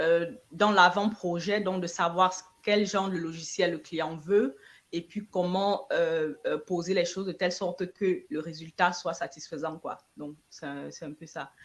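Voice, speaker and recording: The woman talks fairly slowly with fairly even intonation. Her voice sits fairly low. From Cameroon (Yaoundé). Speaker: entrepreneur and IT analyst. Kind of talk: interview. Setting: online live stream. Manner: hesitant, many fillers.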